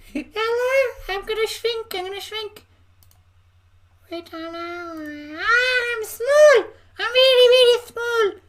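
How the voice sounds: A put-on character voice from a woman, squeaky and extremely high in pitch, at a very slow pace with long, frequent pauses. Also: lively intonation.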